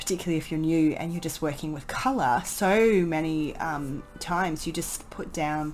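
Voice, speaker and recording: Music plays behind a woman whose voice is very deep and low, with ordinary pitch variation. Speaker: painting tutor. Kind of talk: voice-over painting tutorial. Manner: casual, hesitant.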